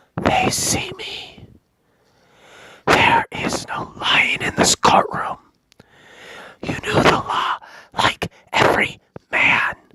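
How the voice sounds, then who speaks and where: Someone whispers in a put-on character voice at a very slow pace, leaving long, frequent pauses. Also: man. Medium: read story. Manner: hushed.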